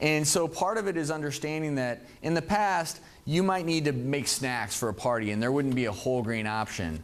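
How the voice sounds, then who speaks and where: A man speaks in a plain, everyday voice. His intonation is lively and his pace fairly quick. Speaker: physician and TV health expert. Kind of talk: satellite media tour interview answer on nutrition.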